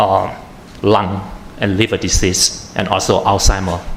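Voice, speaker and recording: A man with a Thai accent talks at a fairly slow pace with ordinary pitch variation, and noticeable background noise can be heard. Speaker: atmospheric chemist, researcher. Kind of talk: panel presentation. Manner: halting, many fillers.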